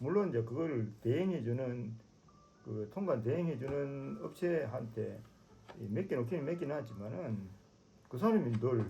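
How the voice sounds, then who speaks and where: This man has a dark, mellow tone at medium pitch, somewhat breathy. His intonation is lively. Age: 70s. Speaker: motorcycle traveler. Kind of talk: casual conversation.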